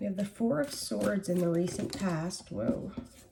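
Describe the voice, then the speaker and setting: A woman speaks at a fairly slow pace with a medium pitch and ordinary pitch variation. Noticeable background noise can be heard. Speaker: tarot reader. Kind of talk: tarot reading. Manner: casual, conversational.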